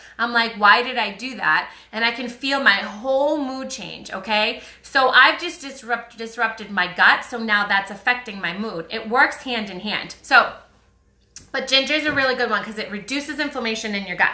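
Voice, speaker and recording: A woman's fairly high voice at a moderate pace, with ordinary pitch variation, big swings in loudness and noticeable background noise. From US Northeast, Boston. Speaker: wellness influencer selling essential oils. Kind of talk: live stream chat with viewers. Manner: casual, chatty.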